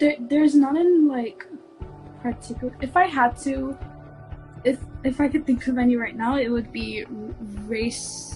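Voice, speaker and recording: High-pitched woman at a fairly slow pace, ordinary pitch variation, music playing behind her. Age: young. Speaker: college student. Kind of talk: interview answer.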